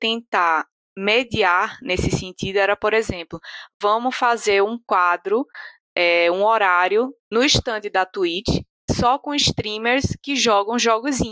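In a dry, close sound with no echo, a woman with a bright, sharp tone and fairly high pitch speaks at a very slow pace with ordinary pitch variation. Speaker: esports podcast host. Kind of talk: casual chat.

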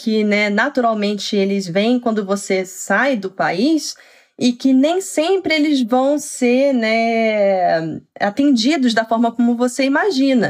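A woman talks at a fairly slow pace with a high pitch and lively intonation. Her loudness stays very even. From Brazil, Petrópolis (Rio de Janeiro state). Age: 30s. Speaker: HR professional, immigrant. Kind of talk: casual interview conversation.

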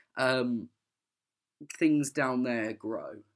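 On a very clean recording with a silent background, a man speaks at medium pitch with an English accent. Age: 20s. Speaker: podcast guest. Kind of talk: casual interview.

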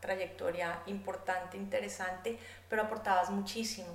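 A woman with a Bogotá accent is heard over noticeable background noise and audible room echo. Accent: Bogotá Colombian Spanish. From Colombia, Bogotá. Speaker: artist and economist. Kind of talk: interview conversation.

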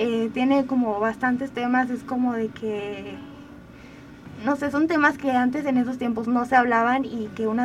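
Speech moves at a moderate pace. Its intonation remains fairly even. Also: woman. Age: 20s. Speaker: podcaster and communication student. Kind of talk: radio interview.

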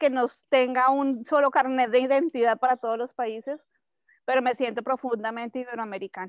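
A woman with a high pitch talks at a moderate pace and fairly even intonation, in a dry, close sound with no echo and a quiet background. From Colombia, Bogotá. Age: 40s. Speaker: activist and communicator. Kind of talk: interview conversation. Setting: home in the countryside.

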